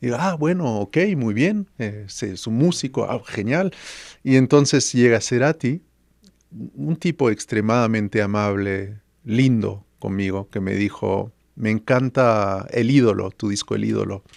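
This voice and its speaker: A man with a normal speaking voice talks fairly slowly at a medium pitch with lively intonation. The recording is very clean with a silent background and a dry, close sound with no echo. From France (Paris). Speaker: musician and music producer. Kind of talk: podcast interview.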